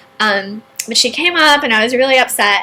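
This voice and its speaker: Ordinary pitch variation and a moderate pace come through noticeable background noise. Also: woman. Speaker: entrepreneur and online marketing video host. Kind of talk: personal story monologue.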